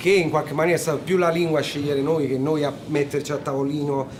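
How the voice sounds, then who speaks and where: In a room with audible echo, a man with a fairly high pitch talks at a fairly quick pace with fairly even intonation. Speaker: musician. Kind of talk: interview.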